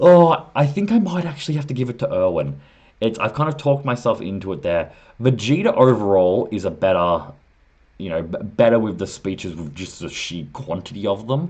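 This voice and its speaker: A man with an Australian accent talks at a fairly quick pace over a quiet background. His medium-pitched voice shows very wide pitch swings. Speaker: anime commentator YouTuber. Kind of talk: casual video commentary, ranking. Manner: casual, thinking aloud with fillers.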